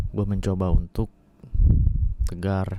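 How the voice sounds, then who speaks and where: A man's monotone, flat delivery at a very slow pace. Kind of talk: ASMR bedtime talk. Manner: soft, intimate, slow.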